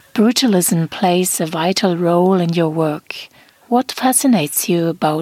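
In a German accent, a woman speaks fairly slowly at a fairly low pitch, the sound dry and close with no echo. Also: very even loudness. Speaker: podcast host. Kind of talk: interview. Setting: video call.

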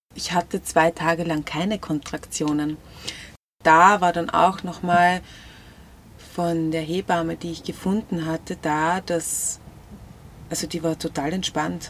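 At a very slow pace with long, frequent pauses, a woman speaks at a fairly low pitch in a monotone, flat intonation, in a very clean recording with a silent background. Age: 30s. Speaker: researcher and mother sharing birth story. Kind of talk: interview, personal testimony. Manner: hesitant, many filler sounds.

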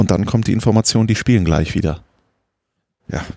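A man's lively intonation in a dry, close sound with no echo. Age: 30s. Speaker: football commentator. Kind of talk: casual chat. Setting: outdoors on a terrace.

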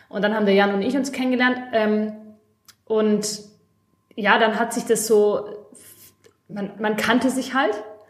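A woman talks in a fairly high, flat monotone. Long pauses come often, and the room echo is audible. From Stuttgart, Germany. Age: 20s. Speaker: craft business office worker and podcast co-host. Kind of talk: casual chat.

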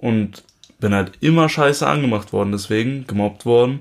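At a moderate pace, a man talks at a medium pitch. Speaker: podcast co-host, musician. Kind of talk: casual chat.

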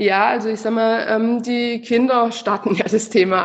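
A woman speaks at a very slow pace. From southern Germany. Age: 30s. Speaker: founder of a financial education project for children, mother. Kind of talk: interview. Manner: halting, many filler sounds.

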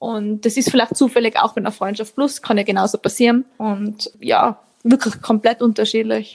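Speaking at a moderate pace in an Austrian accent, a woman uses a fairly high pitch and fairly even intonation, with a dry, close sound with no echo. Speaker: author. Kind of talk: interview.

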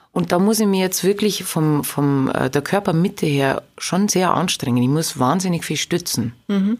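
A woman with a plain, everyday voice talks at a fairly low pitch and a fairly slow pace. Her intonation is lively while her loudness stays very even. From Lower Bavaria, Straubing-Bogen district. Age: 30s. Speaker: singer. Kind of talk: interview.

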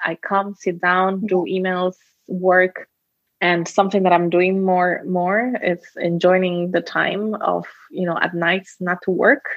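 Speaking at a very slow pace with a Spanish accent, the voice holds a monotone, flat intonation. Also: woman, medium pitch for a woman. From Costa Rica. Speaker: social entrepreneur. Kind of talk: interview.

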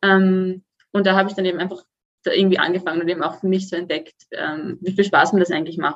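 A woman speaks at a very fast pace in a medium pitch. Her intonation is monotone and flat. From Austria, Vienna. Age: 20s. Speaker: student and fitness client. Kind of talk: podcast interview.

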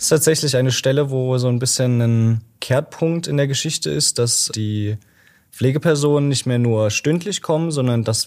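In a very clean recording with a silent background, an ordinary speaking voice moves at a moderate pace with ordinary pitch variation. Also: man. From Germany, Dresden (Saxony). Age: 20s. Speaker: library volunteer presenting a book. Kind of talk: casual interview about a book.

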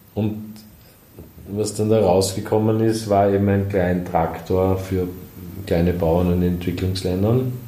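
A man speaks at a fairly slow pace with long, frequent pauses, his loudness very even. His intonation is monotone and flat, and the room echo is audible. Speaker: company founder and design executive. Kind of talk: interview. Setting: office. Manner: halting, many filler sounds.

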